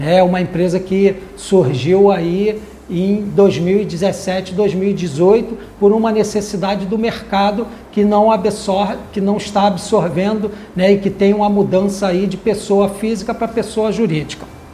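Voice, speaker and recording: With noticeable background noise and audible room echo, a man speaks at a high pitch and fairly slow pace, his intonation fairly even. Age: 60s. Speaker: power generator industry consultant. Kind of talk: podcast interview. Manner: casual, frequent fillers.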